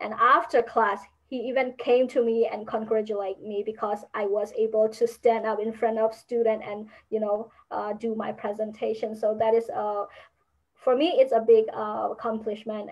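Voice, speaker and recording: Speaking with a Burmese accent, a woman holds a fairly high pitch and monotone, flat intonation at a moderate pace. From Burma. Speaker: university student. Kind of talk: interview. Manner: halting.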